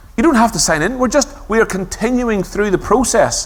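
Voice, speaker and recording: Here a man talks with a Belfast accent. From Northern Ireland, Belfast. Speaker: conference speaker on user experience design. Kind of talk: conference talk.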